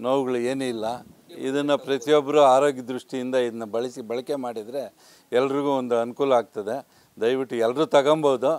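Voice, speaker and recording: The man's intonation is monotone and flat. The sound is dry, with no echo. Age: 70s. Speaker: customer giving testimonial. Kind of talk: testimony. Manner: halting. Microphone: lapel.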